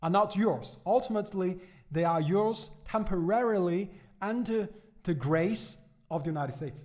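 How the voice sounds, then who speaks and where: In a Chinese accent, a man with a high pitch speaks at a moderate pace with ordinary pitch variation. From China. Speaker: economics podcaster. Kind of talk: podcast commentary. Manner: halting, many fillers and repetitions.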